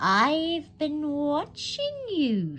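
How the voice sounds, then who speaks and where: Someone performs a put-on character voice over clear background noise. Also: female-sounding voice, high pitch for a woman. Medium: read story.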